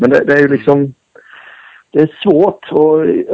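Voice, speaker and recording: Talking at a moderate pace, a man has an unremarkable speaking voice with a fairly high pitch. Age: 40s. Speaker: former motocross racer. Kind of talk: casual interview. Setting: phone call.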